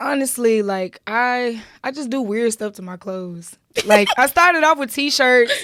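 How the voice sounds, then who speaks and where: A woman with a high pitch speaks at a fairly slow pace, her intonation lively and her tone animated. Her bright, sharp tone comes with big swings in loudness. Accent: Memphis. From Memphis, Tennessee (US South). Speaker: fashion designer and entrepreneur. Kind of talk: casual interview chat. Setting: studio. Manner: animated, casual.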